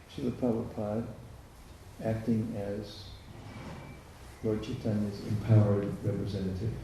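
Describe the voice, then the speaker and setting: Fairly low-pitched male speech at a moderate pace, flat and monotone, broken by long, frequent pauses, over noticeable background noise and audible room echo. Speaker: visiting lecturer. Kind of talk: lecture with consecutive interpretation.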